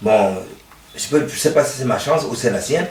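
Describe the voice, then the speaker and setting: Speech moves at a moderate pace. Both room echo and background noise are audible. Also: man. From Cameroon. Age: 60s. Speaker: football coach. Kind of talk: interview. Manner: halting.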